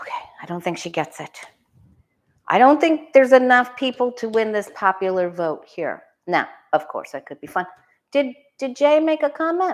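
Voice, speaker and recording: Animated speech at a moderate pace shows very wide pitch swings, big swings in loudness and long, frequent pauses, on a very clean recording with a silent background. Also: woman, high pitch for a woman. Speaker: tarot reader livestream host. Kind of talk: casual livestream chat. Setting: live stream.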